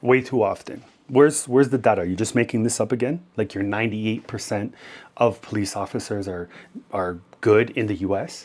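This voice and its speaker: A man with a Canadian accent talks at a fairly quick pace in a fairly low pitch, with ordinary pitch variation. He has a normal speaking voice. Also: very clean recording, silent background. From Canada. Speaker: YouTuber reacting to videos. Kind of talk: reaction commentary.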